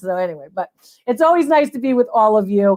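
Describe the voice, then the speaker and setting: A woman speaks in an animated tone with an American accent, her intonation lively and her pitch fairly high. She talks at a very fast pace. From Connecticut. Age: 70s. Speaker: antiques appraiser. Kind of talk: live stream appraisal show.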